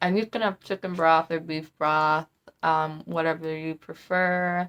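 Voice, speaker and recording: Delivery is monotone, with flat intonation. The pace is fairly slow. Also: woman, fairly low pitch for a woman. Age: 20s. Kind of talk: casual talk to camera.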